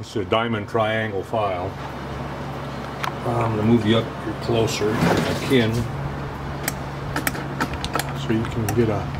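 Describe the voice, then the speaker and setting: A man talks at a moderate pace. Loud background noise runs behind him. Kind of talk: casual workshop tutorial. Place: workshop. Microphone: camera far.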